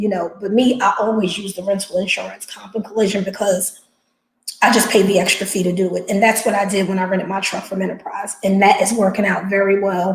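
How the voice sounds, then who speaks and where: A woman with a New Jersey accent speaks in an animated tone at a fairly quick pace. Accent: New Jersey American. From New Jersey, US. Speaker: box truck business owner, live streamer. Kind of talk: casual live stream chat with viewers. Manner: fast.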